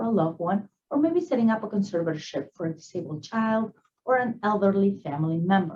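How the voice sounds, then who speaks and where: Very fast and lively in intonation, a woman with a Spanish accent speaks in a medium pitch with a dark, mellow, somewhat breathy tone. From Peru. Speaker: attorney. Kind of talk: prepared professional presentation. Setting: virtual event recording.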